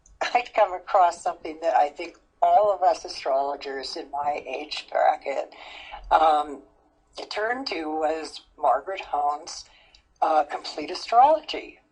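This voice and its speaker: Lively intonation at a fairly slow pace. Loudness swings widely throughout. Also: woman, fairly low pitch for a woman. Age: 60s. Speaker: astrologer. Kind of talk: interview. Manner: halting.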